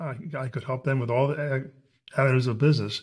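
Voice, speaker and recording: This man's voice is medium in pitch and somewhat breathy, delivered at a moderate speed. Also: very clean recording, silent background. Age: 70s. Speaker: theater executive director. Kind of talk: casual interview.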